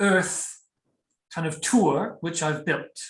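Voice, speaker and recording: A man speaks with a New Zealand accent. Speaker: tour guide. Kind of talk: online guided tour presentation. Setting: video call. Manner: casual, many fillers.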